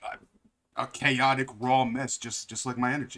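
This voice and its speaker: The speaker is a man at medium pitch. He has a bright, sharp tone. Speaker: streamer. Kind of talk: personal vlog monologue. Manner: halting.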